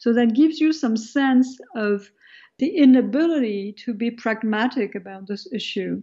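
A woman speaks with a French accent at a moderate pace. Her pitch is fairly high, with ordinary pitch variation. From France, of Algerian background. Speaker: sociology professor. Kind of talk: radio interview.

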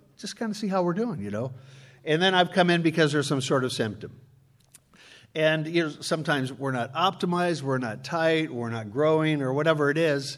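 A man with an American accent talks in a plain, everyday voice, fairly high in pitch, at a fairly quick pace with lively intonation, on a very clean recording with a silent background. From Chicago. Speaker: preacher and church conflict consultant. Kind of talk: sermon.

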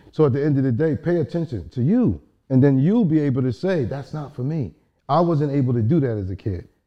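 Lively intonation runs through an unremarkable speaking voice with an American accent. The pace is fairly quick. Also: man, fairly high pitch for a man. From US East Coast (Brooklyn to South Carolina). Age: 50s. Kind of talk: casual interview conversation. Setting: studio.

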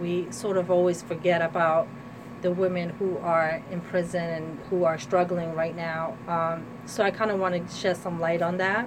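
In an American accent, a woman with a fairly low pitch speaks at a moderate pace with fairly even intonation over noticeable background noise. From New Jersey, US. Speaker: artist and women's rights activist. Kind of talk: radio interview. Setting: studio.

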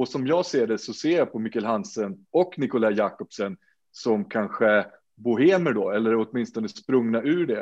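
With an unremarkable speaking voice, a man talks at a fairly slow pace using lively intonation. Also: medium pitch for a man. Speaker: podcast host. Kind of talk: casual chat.

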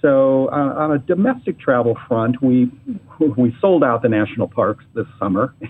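Using an unremarkable speaking voice, a man with an American accent talks at a moderate pace with a medium pitch and ordinary pitch variation. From Michigan, Ann Arbor. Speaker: travel agency executive. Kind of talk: casual interview. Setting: phone or remote call.

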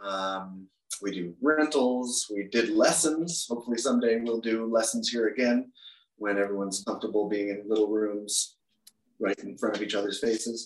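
With an American accent, a man speaks at a moderate pace and a medium pitch. His is an unremarkable speaking voice with ordinary pitch variation. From US Mid-Atlantic (Maryland, DC suburbs). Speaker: guitar shop employee. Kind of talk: interview.

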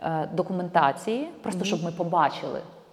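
With ordinary pitch variation at a medium pitch, a woman talks over noticeable background noise. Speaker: documentary filmmaker. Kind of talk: casual interview.

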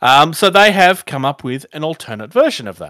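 With an Australian accent, a man speaks at a moderate pace in a fairly high pitch, his tone bright and sharp with vocal fry, on a very clean recording with a silent background. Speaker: tabletop gaming podcast host. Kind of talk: casual chat.

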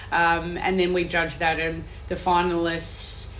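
A woman with an Australian accent, audible room echo and noticeable background noise. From Western Australia (Perth). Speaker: executive chef. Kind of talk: casual interview.

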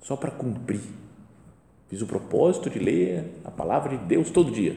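A man speaks at a fairly slow pace with a dark, mellow tone and vocal fry. His pitch swings very widely, and audible room echo surrounds him. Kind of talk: guided meditation talk. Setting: chapel before the tabernacle. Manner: conversational.

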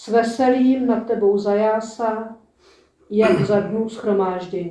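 Her pitch fairly high and her intonation fairly even, a woman speaks at a very slow pace. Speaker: lay lector. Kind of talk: reading aloud.

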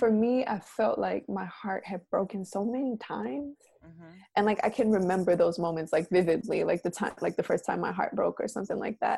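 A woman speaks at a medium pitch and moderate pace with a dark, mellow tone and vocal fry. Her pitch varies in an ordinary way against a quiet background. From US South, Atlanta, Georgia. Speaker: poet and arts educator. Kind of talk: casual interview chat. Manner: calm, soothing.

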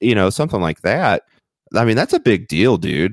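The speaker has an American accent and vocal fry, talking at a moderate pace. The sound is dry and close, with no echo. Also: man. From Missouri, small town. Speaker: podcast co-host. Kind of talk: casual chat. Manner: halting, many repeated words.

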